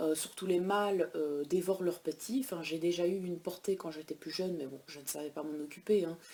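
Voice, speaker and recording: Her tone dark and mellow, a woman speaks at a fairly low pitch with ordinary pitch variation. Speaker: pet vlogger. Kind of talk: casual vlog. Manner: hesitant with many fillers.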